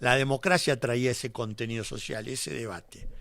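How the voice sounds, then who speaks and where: With lively intonation and a normal speaking voice, a man talks at a moderate pace on a very clean recording with a silent background. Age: 60s. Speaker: politician. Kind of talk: radio interview.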